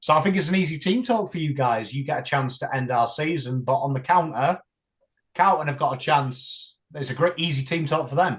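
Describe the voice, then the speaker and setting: A man's somewhat breathy, fairly high voice in an English accent, at a fairly quick pace with ordinary pitch variation. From England. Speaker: YouTuber and football fan. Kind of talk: casual chat.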